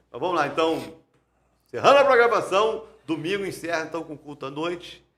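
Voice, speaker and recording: There is audible room echo as a man speaks at high pitch with lively intonation and a fairly quick pace. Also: big swings in loudness. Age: 50s. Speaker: pastor and podcast host. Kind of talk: casual chat. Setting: live-streamed church podcast.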